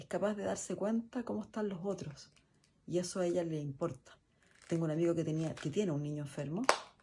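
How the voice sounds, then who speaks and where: Over a quiet background, a woman with a very deep, low pitch, ordinary pitch variation and a dark, mellow tone speaks somewhat breathily at a fairly quick pace. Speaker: guest's mother. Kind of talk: recorded message.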